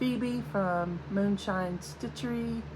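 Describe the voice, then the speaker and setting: A woman speaks at a very slow pace, with audible room echo. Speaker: crafting video host. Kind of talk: casual show-and-tell vlog.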